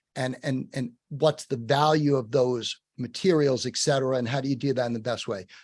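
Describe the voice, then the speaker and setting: In a New York accent, a man speaks at a fairly quick pace with hardly any pauses. His pitch is medium and his intonation fairly even. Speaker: webinar host. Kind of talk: webinar Q&A. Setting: virtual program.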